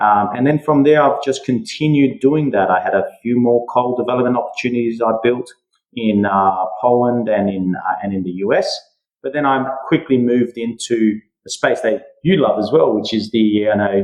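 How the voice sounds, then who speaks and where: With an Australian accent, the speaker talks at a moderate pace with ordinary pitch variation. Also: man, medium pitch for a man. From Western Australia (Perth). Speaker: mining and metals company founder. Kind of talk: podcast interview. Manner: hesitant, many fillers.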